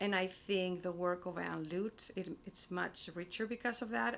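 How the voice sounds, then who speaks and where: A woman speaks with a Spanish accent. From Spain. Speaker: publishing operations director and writer. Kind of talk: interview. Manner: halting, many fillers and repetitions.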